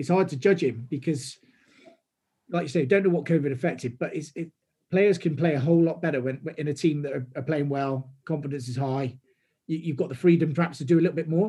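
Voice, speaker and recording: A man with a fairly high pitch has a dark, mellow tone that is somewhat breathy. He moves at a fairly quick pace with ordinary pitch variation. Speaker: football fan. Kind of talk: casual chat.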